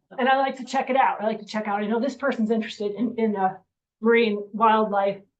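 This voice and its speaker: An American accent marks this woman's fairly high-pitched voice. She talks at a very fast pace with monotone, flat intonation. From US Northeast, western Massachusetts. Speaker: climate science speaker. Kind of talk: lecture. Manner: casual, halting with fillers.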